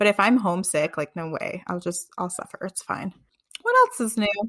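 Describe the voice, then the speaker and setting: At a moderate pace and medium pitch, a woman with a plain, everyday voice speaks with ordinary pitch variation and big swings in loudness, the sound dry and close with no echo. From New York. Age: 20s. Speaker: podcast co-host. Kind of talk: casual chat. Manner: casual, filler-heavy.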